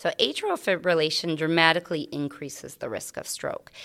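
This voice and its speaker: The speaker has an American accent and keeps a moderate pace. The recording is very clean, with a silent background. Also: woman. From Iowa, US Midwest. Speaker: cardiology physician assistant. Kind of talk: interview.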